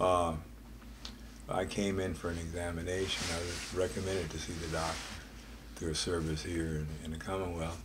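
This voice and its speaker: A man's very deep, low, somewhat breathy voice at a moderate pace with ordinary pitch variation, amid audible room echo. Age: 70s. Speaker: dental patient giving testimonial. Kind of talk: testimony.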